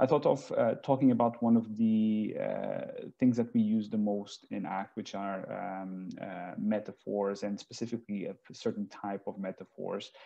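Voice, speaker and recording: Against a quiet background, a man with a fairly low pitch speaks at a moderate pace with fairly even intonation. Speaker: guest lecturer. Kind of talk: lecture. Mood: friendly, relaxed. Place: home room. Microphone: earbuds.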